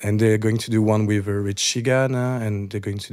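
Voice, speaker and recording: A man's fairly low, monotone voice with a French accent, flat in intonation, at a moderate pace. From France. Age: 30s. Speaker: DJ. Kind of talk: casual chat.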